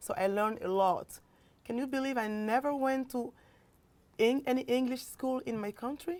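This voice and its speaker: With long, frequent pauses, a woman speaks at a moderate pace in a high voice with ordinary pitch variation. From Mali. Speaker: singer. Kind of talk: interview.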